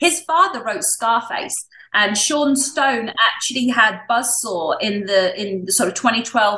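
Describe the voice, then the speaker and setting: A woman's bright, sharp tone with lively intonation, in an English accent. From England. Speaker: wellness coach and show host. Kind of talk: interview.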